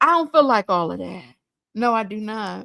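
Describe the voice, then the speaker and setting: Dry and close with no echo, a woman talks in a bright, sharp, animated tone. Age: 40s. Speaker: livestream reaction host. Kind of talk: casual livestream chat. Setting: live stream.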